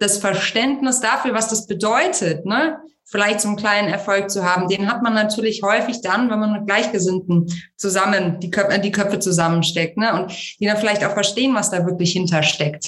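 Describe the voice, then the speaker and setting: At a moderate pace, a woman speaks with medium pitch and ordinary pitch variation. Her loudness stays very even. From Germany, Munich. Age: 30s. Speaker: founder of a women's network. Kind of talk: interview. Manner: hesitant, many fillers.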